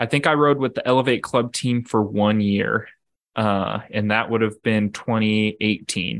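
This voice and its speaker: Speaking fairly slowly in a plain, everyday voice, a man with a fairly low pitch keeps very even loudness and fairly even intonation in a very clean recording with a silent background. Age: 20s. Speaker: road cycling racer. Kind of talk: casual interview.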